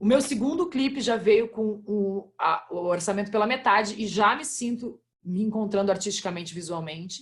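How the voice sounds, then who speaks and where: The voice is somewhat breathy, with lively intonation at a moderate pace. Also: woman. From Brazil, interior of Rio Grande do Sul. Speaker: independent musician. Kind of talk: casual group video chat. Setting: video call.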